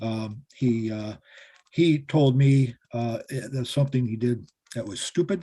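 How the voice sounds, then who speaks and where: Somewhat breathy and dark, mellow in tone, a man speaks at a medium pitch and a fairly slow pace with ordinary pitch variation. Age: 60s. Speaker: defense attorney. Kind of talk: court hearing. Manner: hesitant, many fillers.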